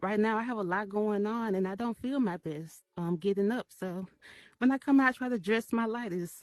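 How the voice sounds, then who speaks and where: With a Memphis accent, a woman talks at a fairly quick pace and medium pitch, her pitch varying in an ordinary way, in a dry, close sound with no echo. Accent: Southern US (Memphis). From US South, Memphis, Tennessee. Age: 30s. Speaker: artist and community member. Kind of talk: short personal talk. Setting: virtual event in VR metaverse. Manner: halting, many fillers; shaky voice when speaking.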